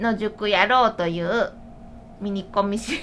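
A woman's normal speaking voice, medium in pitch, with lively intonation. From Shiga, Japan. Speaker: podcast host and food writer. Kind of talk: casual chat. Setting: recorded in a shop.

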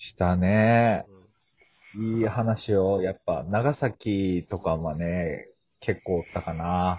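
Speaking at a very slow pace, a man shows ordinary pitch variation and big swings in loudness. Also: fairly low pitch for a man. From Fukuoka, Japan. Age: 20s. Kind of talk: casual chat.

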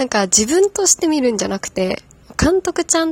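Very wide pitch swings come through in a dry, close sound with no echo. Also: woman. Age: 30s. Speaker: podcast host. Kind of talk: casual solo talk about a hobby. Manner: laughing often; unsteady delivery.

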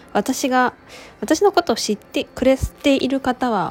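A woman's high voice with lively intonation, against noticeable background noise. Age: 30s. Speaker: podcast host. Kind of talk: solo podcast monologue. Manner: relaxed, easygoing; calm.

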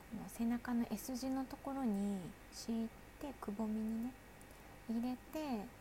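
Against noticeable background noise, a woman with fairly high pitch talks at a fairly slow pace in a relaxed tone, with fairly even intonation and long, frequent pauses. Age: 40s. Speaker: solo podcaster, mother. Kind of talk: casual solo talk. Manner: relaxed, chatty with fillers.

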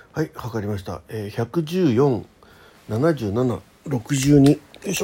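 At a fairly slow pace, a man speaks at a medium pitch with a dark, mellow tone, a husky, rough edge and lively intonation.

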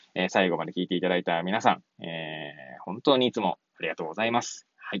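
A man's very deep, low voice in a relaxed tone, fairly quick, with ordinary pitch variation and big swings in loudness. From Hachioji, Tokyo. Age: 30s. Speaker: pharmacist podcaster. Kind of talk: casual solo talk. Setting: in a car. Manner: relaxed with many fillers.

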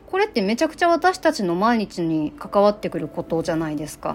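A woman's fairly high voice at a fairly quick pace, with very wide pitch swings and noticeable background noise. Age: 30s. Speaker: activist and podcaster. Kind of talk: casual monologue. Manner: rambling, casual.

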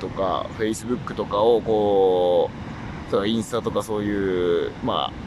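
A man talks over noticeable background noise. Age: 20s. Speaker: solo voice-streaming podcaster. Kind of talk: casual monologue. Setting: outdoors, lying by a river. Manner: relaxed, casual with fillers.

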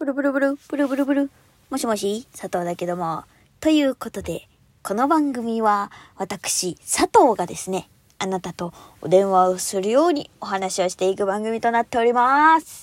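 On a very clean recording with a silent background and a dry, close sound with no echo, a woman with a fairly high pitch speaks at a moderate pace with lively intonation. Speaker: solo podcast host. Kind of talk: casual solo monologue. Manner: high-energy, animated; frequent laughter.

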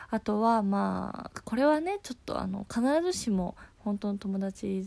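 In a very clean recording with a silent background, a woman's dark, mellow voice moves through very wide pitch swings. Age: 20s. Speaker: podcast host, office worker. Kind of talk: casual solo talk.

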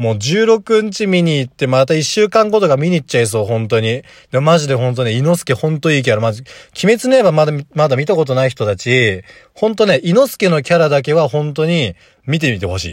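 Pitch swinging very widely, a man with a fairly high voice talks at a fairly quick pace. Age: 20s. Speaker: golf teaching pro and podcaster. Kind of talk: solo casual talk. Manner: animated.

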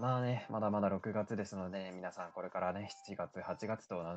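Here is an unremarkable speaking voice. A man talks at a fairly quick pace with a fairly low pitch. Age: 20s. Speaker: solo podcast host. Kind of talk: casual solo talk radio.

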